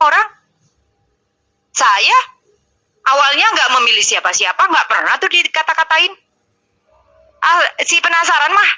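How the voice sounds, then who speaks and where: A raised, projected voice with a strong Surabaya accent, very wide pitch swings and a moderate pace. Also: woman. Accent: strong East Javanese (Surabaya). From East Java, Surabaya. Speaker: live-stream host. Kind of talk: heated debate. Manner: harsh, blunt tone.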